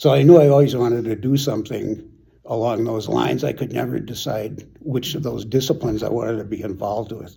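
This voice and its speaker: A man's dark, mellow voice with vocal fry, an American accent and ordinary pitch variation. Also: medium pitch for a man, fairly quick pace. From US Midwest, Chicago suburbs, Illinois. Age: 70s. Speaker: retired city manager. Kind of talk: oral history interview. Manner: halting, many repeated words and fillers.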